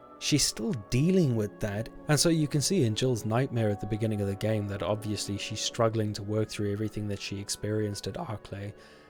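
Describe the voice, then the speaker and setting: A man talks at a fairly quick pace. Behind him, music plays. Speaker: gaming YouTuber. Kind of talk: casual talk to camera.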